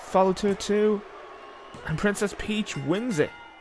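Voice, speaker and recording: Over noticeable background noise, a man with a high voice talks at a fairly slow pace. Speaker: wrestling commentator. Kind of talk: live wrestling match commentary. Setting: video game wrestling show. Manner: clipped, breathless move-by-move calls.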